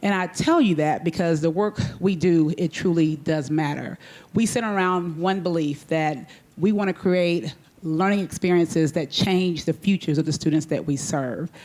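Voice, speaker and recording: This woman has a fairly low voice and talks at a moderate pace with very even loudness. The recording is very clean, with a silent background. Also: ordinary pitch variation. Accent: Texas. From Texas. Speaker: school superintendent. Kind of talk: panel discussion.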